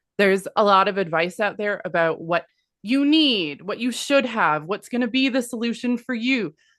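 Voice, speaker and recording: Lively intonation marks a woman's moderate-paced delivery in an unremarkable speaking voice, with a quiet background. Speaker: business consultant. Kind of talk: webinar presentation.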